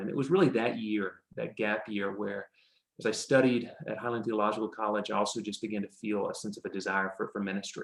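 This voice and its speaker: This speaker talks at a fairly quick pace with an American accent. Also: man. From US South, New Orleans area. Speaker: pastor. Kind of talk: interview.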